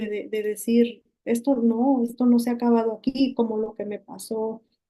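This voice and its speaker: A woman speaks at a moderate pace. Her intonation is flat and monotone. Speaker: accident survivor. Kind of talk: testimony. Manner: halting.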